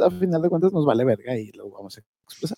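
A man with an unremarkable speaking voice uses lively intonation, and the sound is dry and close with no echo. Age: 20s. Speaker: podcast co-host, HR worker. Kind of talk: casual chat.

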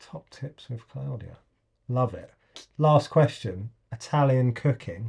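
In an English accent, the somewhat breathy voice moves at a very slow pace with long, frequent pauses and big swings in loudness. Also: man, medium pitch for a man, ordinary pitch variation. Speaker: podcast host. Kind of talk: casual chat.

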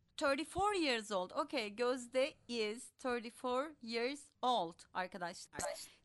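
A woman's high voice at a very slow pace, with very wide pitch swings, very even loudness and hardly any pauses. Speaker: English teacher. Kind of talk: online language class.

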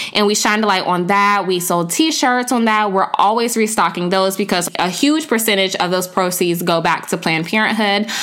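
At a medium pitch and a fairly quick pace, a woman speaks in an upbeat, energetic tone with very even loudness, ordinary pitch variation and hardly any pauses over noticeable background noise. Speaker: podcast host and founder. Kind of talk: casual interview podcast.

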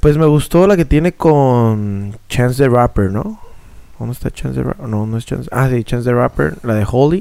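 A man's medium-pitched voice, dark and mellow in tone, with lively intonation at a moderate pace. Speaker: podcast co-host. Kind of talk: casual chat.

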